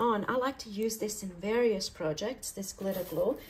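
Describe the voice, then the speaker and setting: A woman's ordinary speaking voice, fairly high in pitch, at a moderate pace with ordinary pitch variation. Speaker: craft youtuber. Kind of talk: tutorial. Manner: casual, chatty.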